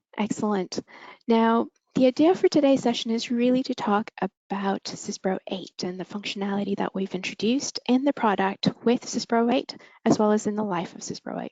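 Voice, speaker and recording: A woman with a Canadian accent and a normal speaking voice talks at a fairly quick pace in a fairly high pitch with ordinary pitch variation. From Canada. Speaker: software product manager. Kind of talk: webinar presentation.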